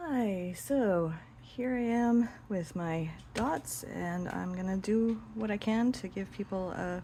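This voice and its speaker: A woman's somewhat breathy voice has a dark, mellow tone and a medium pitch with ordinary pitch variation. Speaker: hobby dot painter. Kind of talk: casual tutorial talk to camera. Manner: hesitant, some stuttering.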